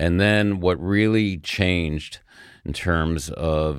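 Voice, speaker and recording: A man with an American accent at a very slow pace, ordinary pitch variation, on a very clean recording with a silent background. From New York suburbs (Scarsdale), US Northeast. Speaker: hotel executive and sports team co-owner. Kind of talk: interview conversation.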